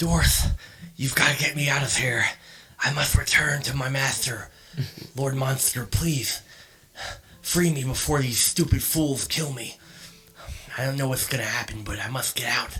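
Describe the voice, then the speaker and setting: Whispering in a put-on character voice, a man moves at a moderate pace broken by long, frequent pauses. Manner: whispering, urgent pleading.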